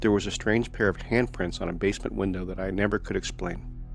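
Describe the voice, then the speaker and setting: The man talks at a very fast rate while music plays in the background. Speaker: paranormal story narrator. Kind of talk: paranormal story narration.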